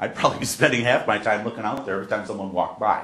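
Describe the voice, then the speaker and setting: Audible room echo surrounds a man speaking. His pitch is medium, with ordinary variation. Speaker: accessibility educator. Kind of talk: discussion with faculty. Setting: university classroom with group. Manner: loud, projected.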